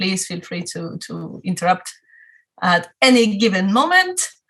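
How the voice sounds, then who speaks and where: A woman with a strong Spanish accent speaks in a bright, sharp tone with ordinary pitch variation. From Spain, Madrid. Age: 40s. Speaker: photographer. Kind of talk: talk to a club audience. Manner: hesitant, many fillers.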